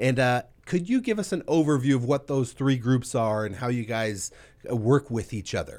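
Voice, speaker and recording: A man with an American accent has an unremarkable speaking voice at a medium pitch. He talks at a moderate pace on a very clean recording with a silent background. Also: ordinary pitch variation. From Ventura, California. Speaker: radio show host. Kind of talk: interview. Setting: studio.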